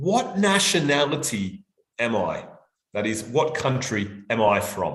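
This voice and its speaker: A man with an Australian accent, medium pitch and very wide pitch swings, at a very slow pace amid audible room echo. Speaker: language examiner and teacher. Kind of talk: live online workshop. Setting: live stream.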